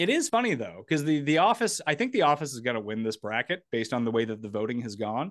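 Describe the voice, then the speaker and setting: A man's fairly high voice at a very fast pace, with very wide pitch swings and hardly any pauses, in a dry, close sound with no echo against a quiet background. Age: 30s. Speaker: sports podcast host. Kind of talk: casual chat.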